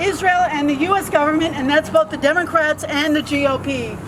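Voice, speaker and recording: An extremely high-pitched woman's voice over noticeable background noise. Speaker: activist speaker at a protest rally. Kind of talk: rally speech. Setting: outdoor rally without amplification. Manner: soft-spoken.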